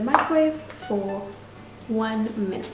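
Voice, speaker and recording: A woman speaks with music playing in the background. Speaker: home cook vlogger. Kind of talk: casual cooking tutorial chat. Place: kitchen. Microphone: camera far.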